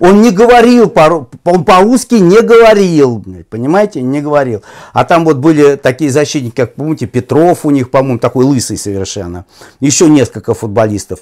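Against a quiet background, a man with a fairly high voice makes very wide pitch swings. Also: moderate pace. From Russia. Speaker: football commentator. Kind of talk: interview conversation. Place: home room. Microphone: lapel.

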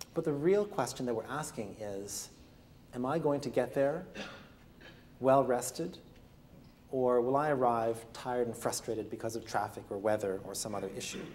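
A man with a Canadian accent speaks at a moderate pace with lively intonation. He takes long, frequent pauses over light background noise. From Canada, Ontario. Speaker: physician and author. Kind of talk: lecture; storytelling. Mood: calm storytelling. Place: classroom.

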